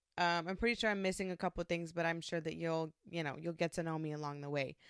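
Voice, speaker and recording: Very fast speech from a woman at a fairly low pitch, fairly even in intonation, dry and close with no echo, on a very clean recording with a silent background. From New York, Puerto Rican family. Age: 20s. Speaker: podcast host. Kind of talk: casual monologue. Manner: loud.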